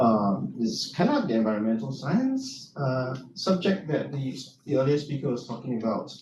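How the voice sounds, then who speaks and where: This man has a Singaporean accent and lively intonation. He talks at a moderate pace with audible room echo. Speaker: university lecturer and soil scientist. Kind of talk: conference presentation. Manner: hesitant, many fillers.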